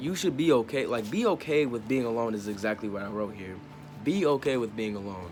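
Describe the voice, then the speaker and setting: Lively intonation at a moderate pace over music in the background. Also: man. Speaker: spiritual self-help vlogger. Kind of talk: casual talk to camera. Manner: halting, stuttering.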